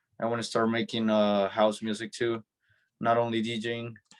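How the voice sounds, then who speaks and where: With a Spanish accent and a medium pitch, a man speaks at a moderate pace in a very clean recording with a silent background. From El Salvador. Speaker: DJ. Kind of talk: interview. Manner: hesitant, many fillers.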